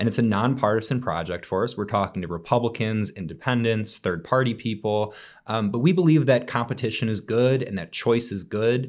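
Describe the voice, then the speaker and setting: A man talks at a fairly quick pace with an ordinary speaking voice and a medium pitch. The recording is very clean, with a silent background. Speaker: policy expert. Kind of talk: interview discussion.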